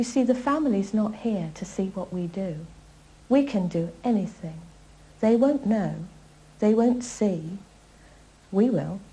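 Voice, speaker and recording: A woman speaks at a fairly slow pace, somewhat breathy, with ordinary pitch variation. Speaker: embalming instructor. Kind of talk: lecture. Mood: earnest, grave, moral emphasis. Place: classroom.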